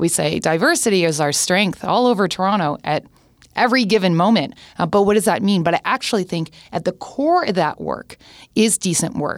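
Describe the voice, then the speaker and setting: In a very clean recording with a silent background, a woman with a Canadian accent talks at a fairly quick pace in a plain, everyday voice of medium pitch with lively intonation. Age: 40s. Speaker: tech and social media executive. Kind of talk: podcast interview.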